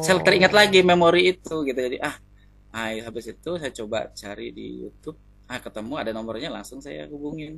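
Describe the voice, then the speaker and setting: A man talks at a very fast pace with a fairly high pitch and very wide pitch swings. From East Kalimantan, Indonesia. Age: 30s. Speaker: consultation client. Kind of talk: consultation interview. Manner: halting.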